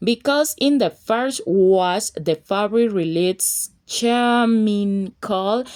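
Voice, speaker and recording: A woman's medium-pitched voice with a Colombian accent and ordinary pitch variation, very slow in pace, dry and close with no echo, on a very clean recording with a silent background. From Colombia (Buenaventura). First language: Spanish. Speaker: fashion design and sewing teacher. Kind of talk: casual tutorial talk to camera.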